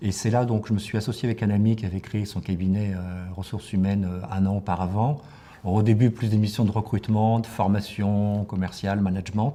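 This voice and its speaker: Fairly low in pitch, this man talks at a fairly quick pace with fairly even intonation. His tone is dark and mellow, and somewhat breathy. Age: 60s. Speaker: professional coach. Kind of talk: interview. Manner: hesitant, many fillers and repetitions.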